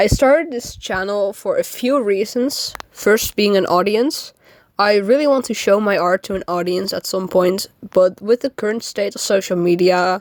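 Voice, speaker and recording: This is a woman's voice, pitched in the middle range. It varies in pitch in an ordinary way. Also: moderate pace. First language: not English. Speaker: amateur artist and new YouTuber. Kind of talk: casual vlog monologue. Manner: halting, frequent fillers.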